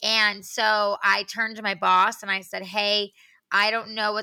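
In a very clean recording with a silent background, a woman with an American accent talks at a moderate pace in a bright, sharp tone with monotone, flat intonation. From New York. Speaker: celebrity stylist. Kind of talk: casual interview.

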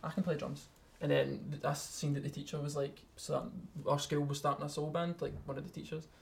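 In a Scottish accent, a man talks at a fairly quick pace. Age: 20s. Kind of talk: casual chat.

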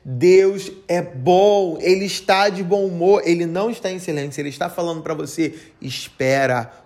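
A man talks at a fairly slow pace with a high pitch and ordinary pitch variation. His tone is animated, and the room echo is audible. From Brazil, Rio de Janeiro. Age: 30s. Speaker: podcast preacher. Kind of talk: sermon.

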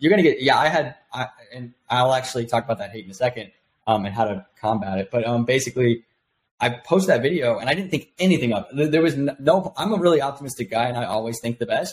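A somewhat breathy man talks at a very fast pace in a medium pitch. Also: lively intonation. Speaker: software entrepreneur. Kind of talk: casual interview. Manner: fast talker.

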